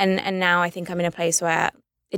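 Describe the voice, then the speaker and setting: A woman with a London accent, in a dry, close sound with no echo. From London, England. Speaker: writer and producer. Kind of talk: casual interview.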